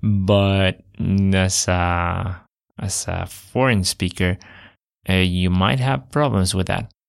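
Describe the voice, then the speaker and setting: A man's very deep, low pitch with ordinary pitch variation and a Spanish accent, at a very slow pace with long, frequent pauses, on a very clean recording with a silent background. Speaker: language podcast host. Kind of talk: casual educational podcast talk. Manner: halting, many fillers.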